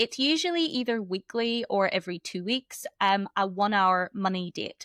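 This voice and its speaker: With a Northern Irish accent, a woman speaks in a fairly high, bright, sharp voice with lively intonation and a dry, close sound with no echo. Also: very clean recording, silent background. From Northern Ireland. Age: 30s. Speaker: embodiment coach. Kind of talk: podcast interview.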